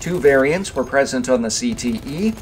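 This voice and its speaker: Noticeable background noise behind a man's medium-pitched voice with lively intonation. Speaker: gaming video creator. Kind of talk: game weapons overview narration. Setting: mobile recording setup.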